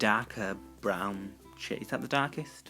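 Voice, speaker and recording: A man talks fairly slowly while music plays in the background. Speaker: guest voiceover narrator. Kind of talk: casual humorous tutorial voiceover.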